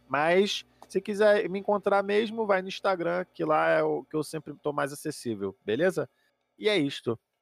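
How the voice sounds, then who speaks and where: Heard in a dry, close sound with no echo, a man talks at a moderate pace, his high voice carrying lively intonation. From Brazil, Rio de Janeiro. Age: 20s. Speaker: comedian. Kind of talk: casual chat.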